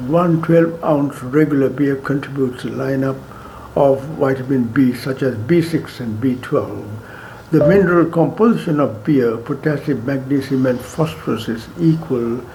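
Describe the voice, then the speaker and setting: Over noticeable background noise and audible room echo, a man talks at a moderate pace and medium pitch, with ordinary pitch variation. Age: 90s. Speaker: doctor. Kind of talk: health talk.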